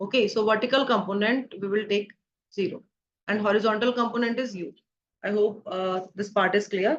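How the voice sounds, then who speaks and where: A woman with an unremarkable speaking voice and a fairly high pitch. She talks at a fairly quick pace with fairly even intonation. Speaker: physics teacher. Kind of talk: lecture.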